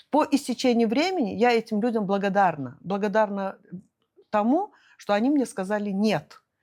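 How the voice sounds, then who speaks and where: Her loudness very even, a woman with a fairly high voice speaks at a moderate pace with lively intonation. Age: 60s. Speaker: businesswoman. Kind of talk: interview. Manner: hesitant, many fillers.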